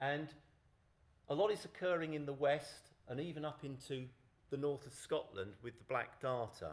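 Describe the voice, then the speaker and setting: Speaking with a southern English accent, a man uses a fairly high pitch and lively intonation at a moderate pace, with audible room echo. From southern England. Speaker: conference speaker on dragonflies. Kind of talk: conference presentation.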